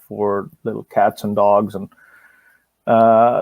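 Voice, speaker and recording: Speaking at a fairly slow pace, a man with a fairly low pitch sounds dry and close, with no echo. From India. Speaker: wildlife conservationist. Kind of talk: interview. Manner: repeats words, many fillers.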